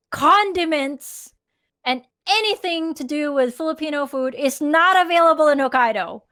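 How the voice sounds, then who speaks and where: A woman speaks in a raised, projected voice with a high pitch and a bright, sharp tone at a moderate pace. The recording is very clean, with a silent background. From Philippines. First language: Tagalog. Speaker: podcast co-host. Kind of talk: casual chat. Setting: live stream.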